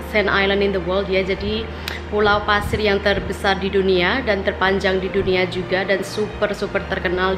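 A woman at a moderate pace, with monotone, flat intonation and very even loudness, over noticeable background noise. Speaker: family vlogger. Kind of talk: casual vlog chat. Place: home room. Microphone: phone near.

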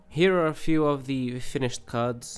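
Over music in the background, the voice moves with ordinary pitch variation. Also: man. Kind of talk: casual vlog update narration.

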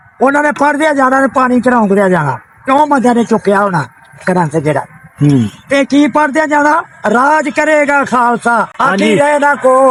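Noticeable background noise sits behind a man with a Pakistani accent. His pitch is extremely high, with lively intonation and very even loudness. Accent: Pakistani Punjabi. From Sialkot, Punjab, Pakistan. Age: 80s+. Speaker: elderly villager, former farmer. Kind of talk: interview answer. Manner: confident.

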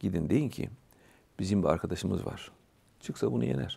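A man's dark, mellow voice with vocal fry, very wide pitch swings and a fairly quick pace, in a dry sound with no echo. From Bulgaria, Tırnava region; Bulgaria. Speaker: religious scholar; interview guest. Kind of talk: casual chat. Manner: halting. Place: studio. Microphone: lapel.

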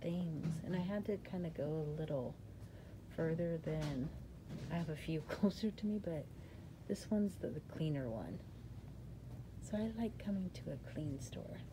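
A woman's very deep, low voice with a dark, mellow tone, somewhat breathy, at a moderate pace with ordinary pitch variation, long, frequent pauses and noticeable background noise. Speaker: crafting channel host. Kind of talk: casual vlog chat. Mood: cheerful, excited. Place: shop. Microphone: phone near.

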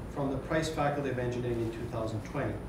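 A man speaks at a moderate pace with ordinary pitch variation, his voice carrying audible room echo amid noticeable background noise. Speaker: associate dean hosting seminar. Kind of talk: formal introduction. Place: classroom.

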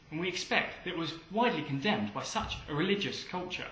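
Amid noticeable background noise, a man with a high pitch speaks at a fairly quick pace with very wide pitch swings. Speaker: documentary narrator. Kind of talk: documentary narration, scripted and read aloud. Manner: formal, measured, even-paced, authoritative.

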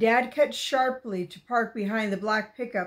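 What you hear is plain reading aloud.

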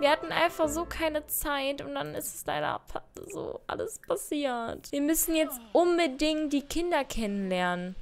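With noticeable background noise behind her, a woman speaks fairly slowly at a high pitch, with very wide pitch swings and big swings in loudness. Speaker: gaming YouTuber. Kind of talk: let's play commentary. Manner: chatty, thinking aloud.

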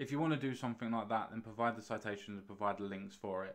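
Against a quiet background, a man with an English accent speaks with ordinary pitch variation. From UK. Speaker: YouTube commentator. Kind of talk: response video, monologue reacting to a comment. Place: home room. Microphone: studio mic.

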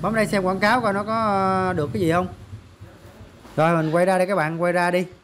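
Fast and fairly bright in tone, a man speaks at a high pitch with little pitch movement.

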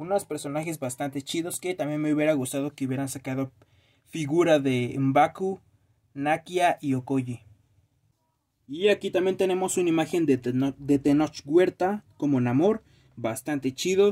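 The speaker has a dark, mellow tone and a Mexican accent. A moderate pace and ordinary pitch variation come through over a quiet background. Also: man, fairly high pitch for a man. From Mexico. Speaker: YouTuber reviewing toys. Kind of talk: unboxing video. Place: home room. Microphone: phone near.

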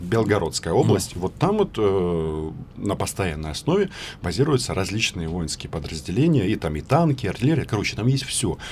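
With light background noise behind him, a man with a fairly low pitch talks at a fairly quick pace and makes very wide pitch swings. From Ukraine. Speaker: journalist, news agency correspondent. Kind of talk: radio interview, political debate. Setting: radio studio. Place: studio. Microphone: studio mic.

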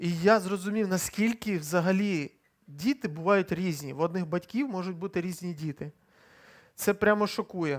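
A man's high voice at a moderate pace, ordinary pitch variation and a quiet background. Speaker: preacher. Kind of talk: sermon. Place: church. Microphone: headset.

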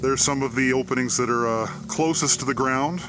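Faint music runs in the background. Over it, a man speaks with ordinary pitch variation. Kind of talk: casual vlog commentary. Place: open country.

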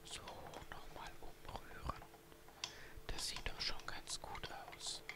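Very slowly, someone whispers in a soft-spoken way. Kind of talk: tutorial. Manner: soft whispered ASMR narration. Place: kitchen.

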